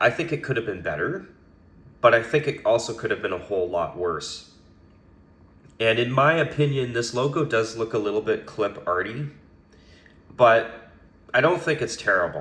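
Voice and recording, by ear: Raspy, fairly low male voice with a fairly bright tone, lively intonation and long, frequent pauses. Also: moderate pace.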